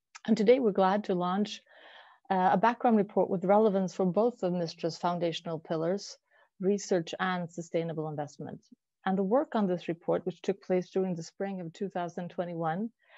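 The voice has a dark, mellow tone and fairly even intonation at a moderate pace. The sound is dry with no echo, against a quiet background. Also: woman. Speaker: webinar host. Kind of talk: formal webinar introduction. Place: home room. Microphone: earbuds.

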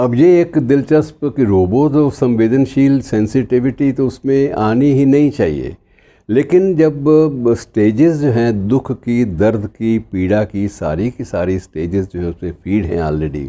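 Very slowly, a man with a dark, mellow tone speaks with very wide pitch swings. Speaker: commentator. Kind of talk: commentary talk to viewers. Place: home room. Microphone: lapel.

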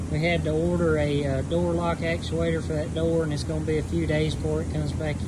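Heavy background noise fills the recording. Through it, a man talks fairly fast. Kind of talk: casual walkthrough commentary. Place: workshop. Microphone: phone near.

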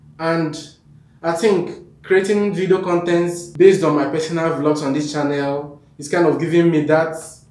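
In a room with audible echo, a man speaks at a fairly slow pace in a fairly high pitch with monotone, flat intonation. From Nigeria. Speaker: YouTube vlogger. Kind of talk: vlog to camera. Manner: halting. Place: home room.

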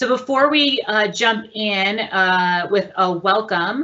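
A woman's very slow speech with ordinary pitch variation and very even loudness. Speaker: meeting host. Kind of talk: meeting introduction. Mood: warm, welcoming. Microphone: webcam.

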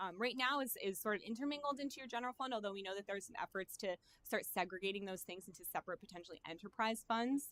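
A woman talks at a very fast pace with ordinary pitch variation. The sound is dry and close, with no echo. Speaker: financial consultant. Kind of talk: presentation to city council. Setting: council meeting.

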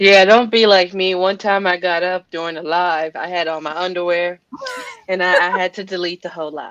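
A woman's fairly bright tone at a moderate pace, with fairly even intonation. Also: fairly low pitch for a woman.

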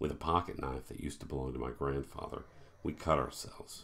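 A man speaks in a very deep, low pitch with monotone, flat intonation. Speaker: horror author. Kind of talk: horror story reading; self-recorded author reading with casual intro. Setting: home recording. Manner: casual, self-deprecating, humorous intro. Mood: dark, measured narration. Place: home room. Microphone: webcam.

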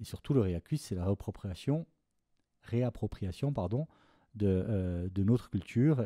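In a very clean recording with a silent background and a dry, close sound with no echo, a man with a fairly low pitch and a dark, mellow tone speaks at a fairly slow pace with lively intonation and long, frequent pauses. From Corsica. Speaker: film composer. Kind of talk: interview. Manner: halting.

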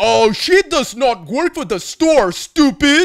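A man's put-on character voice in a Russian accent, extremely high-pitched for a man and fairly slow, on a very clean recording with a silent background. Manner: angry.

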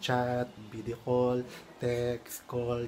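A man is talking with noticeable background noise in the recording. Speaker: vlogger. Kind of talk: casual vlog chat with tips. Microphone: phone near.

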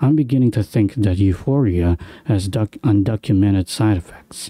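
A man with a fairly low pitch and a dark, mellow tone speaks at a moderate pace with lively intonation. The recording is very clean with a silent background and a dry, close sound with no echo. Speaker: gaming video creator. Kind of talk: horror game let's play commentary.

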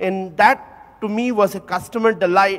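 A man with a high pitch and ordinary pitch variation speaks at a moderate pace. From India, Calcutta; India. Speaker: audience member. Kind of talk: anecdote. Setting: hall with audience. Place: hall.

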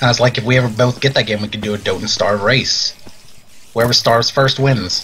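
A man at a medium pitch and a fairly quick pace, with noticeable background noise. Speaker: gaming youtuber. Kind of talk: casual gameplay commentary. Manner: animated; fast talker.

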